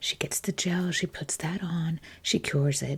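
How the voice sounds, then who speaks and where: Soft-spoken and somewhat breathy, a woman talks. Her pace is very slow. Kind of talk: storytelling, casual anecdote. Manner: soft-spoken, chatty.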